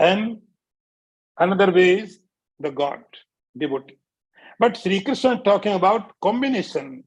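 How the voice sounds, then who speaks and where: With an Indian accent, a man speaks at a high pitch, his intonation lively and broken by long, frequent pauses. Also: moderate pace. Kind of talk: spiritual discourse. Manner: repetitive, emphatic teaching.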